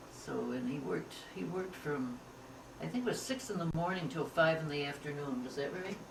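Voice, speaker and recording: A woman with an American accent and a very deep, low pitch talks at a fairly quick pace with lively intonation, amid noticeable background noise and audible room echo. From Liverpool, New York (upstate New York). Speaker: interviewee sharing family history. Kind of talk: oral history interview.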